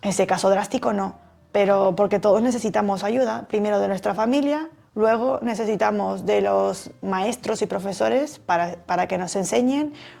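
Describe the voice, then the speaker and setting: A woman speaks with a dark, mellow tone and lively intonation. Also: medium pitch for a woman, moderate pace. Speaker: personal development youtuber. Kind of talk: talk to camera.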